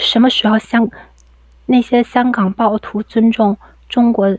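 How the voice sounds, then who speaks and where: A woman with a fairly high, somewhat breathy voice talks at a fairly slow pace with fairly even intonation, in a dry, close sound with no echo. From Dalian, Liaoning, China. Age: 20s. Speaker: caller. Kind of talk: reading aloud.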